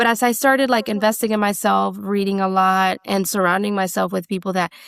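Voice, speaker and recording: In a very clean recording with a silent background, a woman of medium pitch speaks at a fairly quick pace. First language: not English. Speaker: business owner. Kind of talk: interview.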